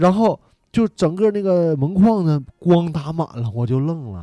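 A man speaks at a very slow pace in a dark, mellow tone. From Northeast China (Tieling, Liaoning). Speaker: podcast guest, video creator. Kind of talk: storytelling in casual chat. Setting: studio, seated on floor in dim light. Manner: animated.

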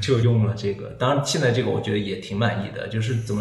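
A man's pitch rises and falls in an ordinary way. Background noise is clearly audible. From China, Hunan. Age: 30s. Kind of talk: interview conversation.

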